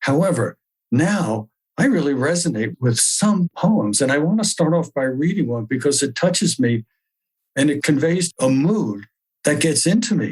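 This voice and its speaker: Recorded dry and close with no echo, a man with a fairly high, somewhat breathy voice moves at a moderate pace, his pitch swinging very widely while his loudness stays very even. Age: 70s. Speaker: spiritual group leader and archaeologist. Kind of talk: spiritual talk. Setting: video call.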